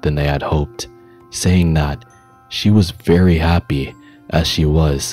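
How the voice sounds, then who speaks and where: Soft-spoken and very deep in pitch, a man talks at a fairly slow pace while music plays in the background. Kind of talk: bedtime story reading. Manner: slow, calm.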